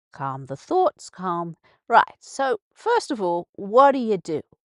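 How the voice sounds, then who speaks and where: This woman has an English accent. Her voice sounds dry and close, with no echo. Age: old. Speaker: radio host. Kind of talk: casual monologue. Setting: live radio broadcast. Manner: halting.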